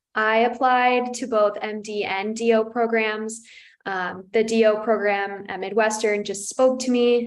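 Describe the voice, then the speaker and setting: Her ordinary speaking voice carries ordinary pitch variation as the woman talks at a fairly slow pace. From Arizona. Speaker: medical student. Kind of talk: panel Q&A.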